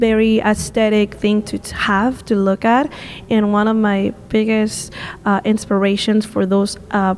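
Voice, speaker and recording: A woman with a fairly high pitch and flat, monotone intonation at a fairly slow pace, over noticeable background noise. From Peru. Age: 20s. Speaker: visual artist and tour guide. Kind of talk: podcast interview answer.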